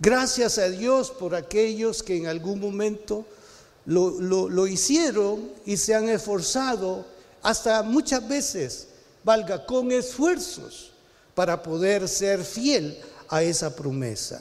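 A high-pitched male voice at a very slow pace, with audible room echo. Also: lively intonation. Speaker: pastor. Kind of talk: sermon.

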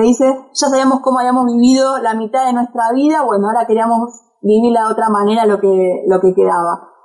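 This woman has a normal speaking voice at fairly high pitch. She talks at a fairly quick pace with fairly even intonation. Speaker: travel blogger and journalist. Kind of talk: interview. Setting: remote call from home.

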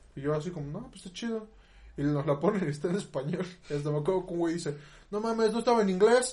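This man talks at a very fast pace in a high voice. His intonation is lively, and his loudness swings widely. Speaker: podcast co-host. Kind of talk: casual chat.

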